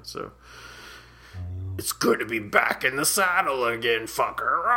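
A man delivers a put-on character voice at a moderate pace. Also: medium pitch for a man. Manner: menacing, gleeful.

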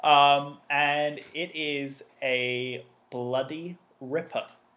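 The voice has an English accent and ordinary pitch variation. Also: man. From British. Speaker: podcast panelist. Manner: enthusiastic, upbeat.

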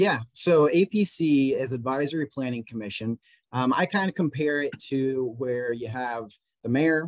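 In an American accent, the speaker talks at a fairly slow pace with ordinary pitch variation, the sound dry and close with no echo over a quiet background. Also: man. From Indiana, US Midwest. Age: 20s. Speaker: local volunteer and city council candidate. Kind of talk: casual interview. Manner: energetic.

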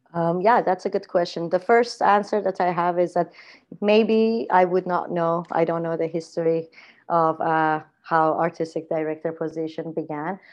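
With an Iranian accent, a woman speaks at a moderate pace. Her fairly low pitch has fairly even intonation. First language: Farsi. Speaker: theatre artistic director. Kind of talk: casual interview chat. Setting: video call. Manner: hesitant, many fillers.

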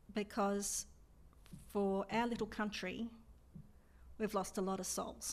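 A woman with an Australian accent and medium pitch speaks at a fairly slow pace in a monotone, flat intonation, with very even loudness and long, frequent pauses. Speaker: air force veteran. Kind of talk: interview.

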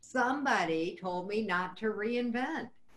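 Lively intonation against noticeable background noise. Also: woman. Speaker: podcast host. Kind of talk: casual interview chat.

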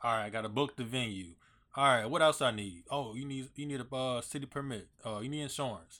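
A man with an ordinary speaking voice talks at a fairly quick pace in a very clean recording with a silent background. His medium pitch shows ordinary pitch variation. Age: 30s. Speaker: podcast host. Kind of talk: casual interview chat. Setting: podcast studio.

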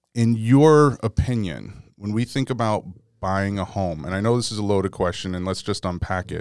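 Using a normal speaking voice, a man talks at a moderate pace with lively intonation and a fairly low pitch. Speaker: podcast host. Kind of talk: casual podcast interview.

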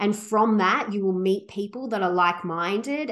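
Speaking with an Australian accent, a woman keeps her intonation fairly even. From Australia, Sydney. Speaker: travel company founder. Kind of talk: interview.

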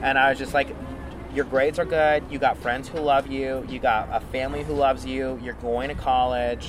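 Over music in the background, a man talks in an animated tone at a medium pitch. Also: moderate pace. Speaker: radio personality. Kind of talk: interview. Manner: animated, flamboyant.

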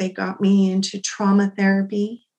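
A woman with an American accent speaks fairly slowly at a medium pitch, her intonation monotone and flat. Her tone is dark and mellow and somewhat breathy. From Utah, US. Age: 40s. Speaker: domestic abuse survivor. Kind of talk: testimony.

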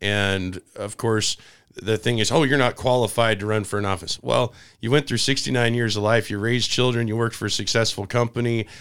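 A man with an American accent speaks at a fairly quick pace and medium pitch, with fairly even intonation. He has a plain, everyday voice, and the recording is very clean with a silent background. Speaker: political talk show host. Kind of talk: interview. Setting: studio.

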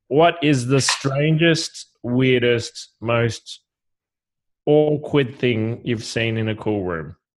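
This man speaks very slowly, with an Australian accent. His pitch is medium, with ordinary variation. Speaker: podcast co-host. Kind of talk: casual chat. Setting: video call.

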